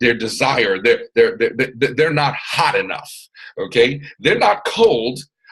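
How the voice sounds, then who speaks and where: Lively in intonation, a man speaks at a moderate pace with a fairly high pitch. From US South, Atlanta, Georgia. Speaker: MLM business mentor. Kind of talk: motivational training talk. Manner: animated, loud at times.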